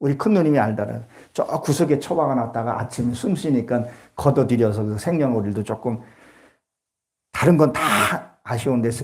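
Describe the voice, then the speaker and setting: Somewhat breathy, a man talks at a moderate pace. His pitch is medium, with ordinary pitch variation. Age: 60s. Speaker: pastor. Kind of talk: sermon.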